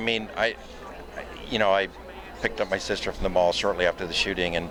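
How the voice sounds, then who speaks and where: Amid noticeable background noise, a man speaks at a fairly quick pace, broken by long, frequent pauses. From Michigan. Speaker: gun safety activist. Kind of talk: interview.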